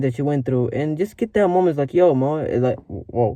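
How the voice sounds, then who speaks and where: A man speaks with a dark, mellow tone at a fairly high pitch. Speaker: vlogger. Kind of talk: casual motivational vlog talk. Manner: fast; rambling, filler-heavy.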